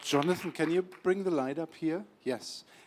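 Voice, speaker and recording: Speaking with a German accent, a man keeps a moderate pace and a fairly even intonation. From Germany, Berlin. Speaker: documentary filmmaker. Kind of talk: event introduction to audience. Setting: screening event with audience.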